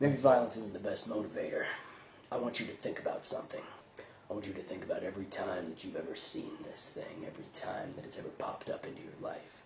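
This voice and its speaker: Putting on a raspy character voice, a man talks at a very fast pace over clear background noise. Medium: voice reel. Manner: rambling, casual, with sudden menace.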